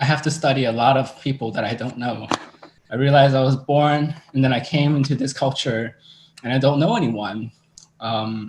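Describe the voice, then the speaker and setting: A man's medium-pitched voice with a Cantonese accent, fairly even intonation, and a moderate pace. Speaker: drag performer. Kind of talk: interview.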